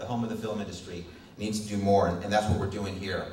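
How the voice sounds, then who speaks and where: A man's voice comes with audible room echo and light background noise. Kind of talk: public speech. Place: hall. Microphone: podium.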